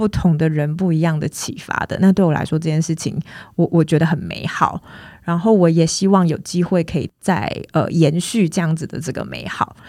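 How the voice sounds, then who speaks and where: A woman speaks in a Taiwanese accent with a fairly low pitch and a dark, mellow tone. Her pace is moderate and her pitch variation ordinary. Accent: Taiwanese Mandarin. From Taiwan, Tainan. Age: 30s. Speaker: film producer. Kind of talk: interview.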